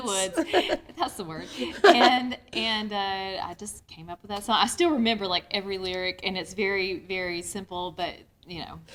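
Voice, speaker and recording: A woman at medium pitch speaks at a moderate pace, with ordinary pitch variation and big swings in loudness. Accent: Southern US. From North Georgia, US. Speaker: singer-songwriter. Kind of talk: interview answer.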